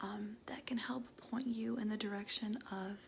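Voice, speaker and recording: A soft-spoken whisper at a very slow pace. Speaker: ASMR creator; mental health worker. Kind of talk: ASMR affirmations. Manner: soft-spoken, semi-whispered.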